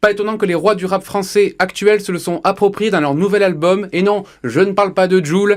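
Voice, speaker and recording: This man speaks at a fairly quick pace in a high pitch, with fairly even intonation. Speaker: radio columnist. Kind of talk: radio chronicle.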